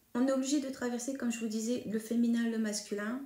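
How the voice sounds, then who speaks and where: In a room with audible echo, a woman talks at a moderate pace in a dark, mellow, somewhat breathy voice. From northern France (Hauts-de-France, Picardy). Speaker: medium. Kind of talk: monologue to camera. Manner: hesitant, many fillers.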